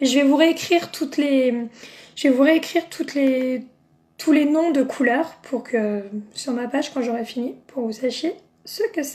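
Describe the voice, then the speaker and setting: Her voice is high-pitched, with ordinary pitch variation. The woman speaks at a fairly slow pace. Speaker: makeup seller and beauty vlogger. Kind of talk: live makeup tutorial. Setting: Facebook live video. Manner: chatty, enthusiastic.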